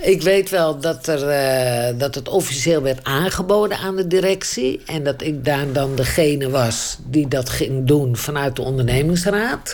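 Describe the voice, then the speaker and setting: A woman with a very deep, low voice speaks fairly slowly, hardly pausing at all, with ordinary pitch variation. Noticeable background noise runs underneath. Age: 70s. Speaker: retired steelworks employee. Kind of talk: interview testimony.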